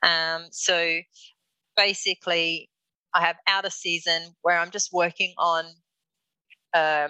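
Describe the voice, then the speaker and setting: A woman speaks in an Australian accent, with a fairly low pitch and a bright, sharp tone. Her intonation is monotone and flat, and the sound is dry and close with no echo. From Darwin, northern Australia. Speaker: milliner. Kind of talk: interview. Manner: halting, many fillers.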